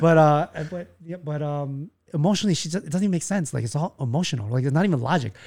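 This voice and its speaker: A man speaks very fast in a fairly high, somewhat breathy voice with a dark, mellow tone and lively intonation. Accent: American. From US Midwest, Chicago. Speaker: army veteran. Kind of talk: casual chat.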